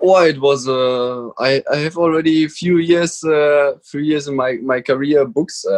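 A man speaks with a German accent at a fairly slow pace, with hardly any pauses. His pitch is fairly high and his intonation fairly even. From Germany. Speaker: motorcycle racer. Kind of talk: casual interview. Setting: video call. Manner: halting.

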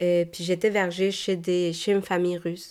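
Very clean and set against a silent background, this recording has a woman with a Spanish accent speaking very slowly at a fairly low pitch in a monotone, flat intonation. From Mexico, Guadalajara. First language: Spanish (speaking French). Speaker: podcast host. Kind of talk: personal testimony monologue. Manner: hesitant, many repeated words and fillers.

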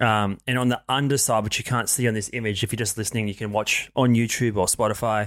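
A very fast, fairly evenly intoned man with an Australian accent, medium pitch and hardly any pauses. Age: 30s. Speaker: podcast co-host. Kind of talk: casual chat.

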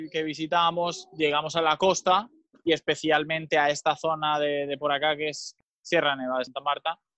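A man speaks at a moderate pace with fairly even intonation. It is an ordinary speaking voice. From Spain (Mallorca). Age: 20s. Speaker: volunteer educator running a social project. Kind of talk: casual interview chat.

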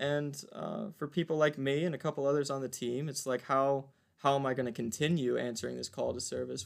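A man with a plain, everyday voice at medium pitch, fairly quick in pace with fairly even intonation. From US South, Virginia (Waynesboro). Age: 20s. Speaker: community service team leader. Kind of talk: interview.

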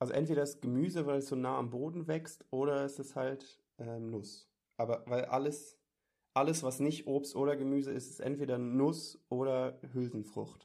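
A man with a fairly high voice and a dark, mellow tone talks at a moderate pace. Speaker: podcast co-host. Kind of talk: casual chat. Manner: animated.

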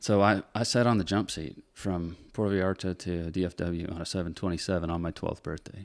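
A man with a very deep, low pitch speaks at a fairly quick pace with fairly even intonation. The recording is very clean with a silent background. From Northern Michigan. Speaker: commercial airline pilot. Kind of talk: casual chat.

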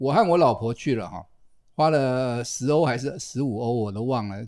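The recording is very clean with a silent background. A man speaks with a dark, mellow tone. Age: 60s. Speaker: retired biology professor, podcast host. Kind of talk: casual chat.

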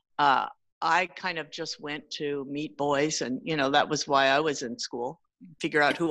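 Against a quiet background, a woman with a Californian accent, a very deep, low pitch and a bright, sharp tone talks at a moderate pace with ordinary pitch variation. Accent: Californian American English. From California (San Jose area). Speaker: teacher. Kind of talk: casual interview conversation.

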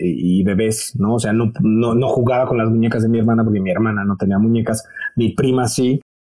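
Here a man talks at medium pitch with a dark, mellow tone. His intonation is fairly even and his pace moderate. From Mexico. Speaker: TV presenter and fashion educator. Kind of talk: interview.

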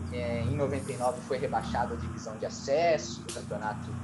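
A man with a medium pitch speaks at a fairly slow pace amid noticeable background noise. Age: 30s. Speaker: radio sports journalist. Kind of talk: casual interview about football history. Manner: halting, many fillers.

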